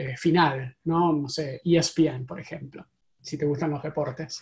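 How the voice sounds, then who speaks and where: A man with an Argentine accent, speaking at a very slow pace with ordinary pitch variation. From Argentina. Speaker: tech company CEO. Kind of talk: interview. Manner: halting.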